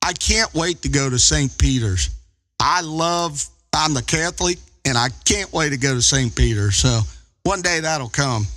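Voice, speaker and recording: A man with a Kentucky accent talks at a moderate pace and a fairly high pitch. His pitch swings very widely. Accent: Kentucky twang. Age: 50s. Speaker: ham radio operator. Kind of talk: casual chat. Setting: amateur radio contact, live stream.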